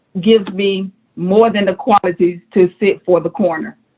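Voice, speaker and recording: Speaking with a Georgia accent, a woman holds a medium pitch, fairly even intonation and a moderate pace. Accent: US Southern (Georgia). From Atlanta, Georgia. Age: 50s. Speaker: political candidate, registered nurse. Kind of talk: campaign speech at candidate forum.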